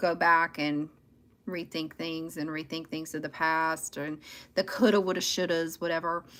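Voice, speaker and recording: The recording is very clean, with a silent background. A woman with a Southern US accent speaks at a fairly low pitch in a bright, sharp tone. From US South. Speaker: tarot reader livestreamer. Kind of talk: live tarot reading stream. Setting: livestream. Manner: loud, talkative.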